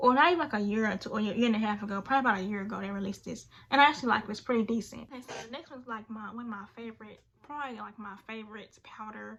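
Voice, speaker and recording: Over noticeable background noise, a woman talks at a very fast pace. Her pitch sits fairly high and varies in an ordinary way. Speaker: beauty vlogger. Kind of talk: product review. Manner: casual filler-heavy.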